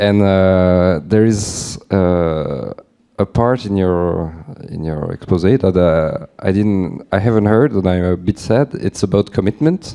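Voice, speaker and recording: The voice belongs to a man with a very deep, low pitch and a dark, mellow tone. He talks fairly slowly with ordinary pitch variation. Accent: French. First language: French. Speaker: audience member asking a question. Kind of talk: audience question. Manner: halting.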